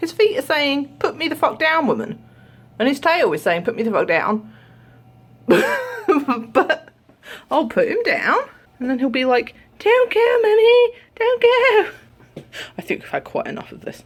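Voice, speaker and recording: With a British accent, the speaker goes at a fairly slow pace, leaving long, frequent pauses and swinging through a very wide pitch range. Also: woman, extremely high pitch for a woman. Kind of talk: casual vlog talk to camera. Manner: chatty, babbling.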